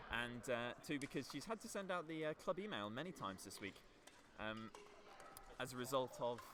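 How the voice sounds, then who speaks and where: A loud man speaks at a moderate pace and a medium pitch, his pitch swinging very widely. Long pauses come often, with music playing in the background. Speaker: student livestream commentator. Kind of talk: live commentary. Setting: courtside livestream.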